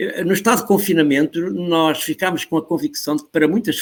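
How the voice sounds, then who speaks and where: A man's high-pitched voice with lively intonation, in a European Portuguese accent. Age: 70s. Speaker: professor. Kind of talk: interview. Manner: animated.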